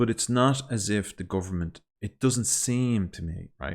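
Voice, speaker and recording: Lively intonation comes through in a Dublin accent on a very clean recording with a silent background. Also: man. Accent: Irish (Dublin). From Ireland. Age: adult. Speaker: language learner vlogger. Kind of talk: casual monologue. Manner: halting.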